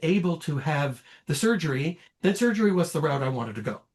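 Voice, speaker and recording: This man's intonation is lively. He talks fairly quickly. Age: 60s. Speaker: cancer survivor. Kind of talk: testimony. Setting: podcast interview. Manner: halting.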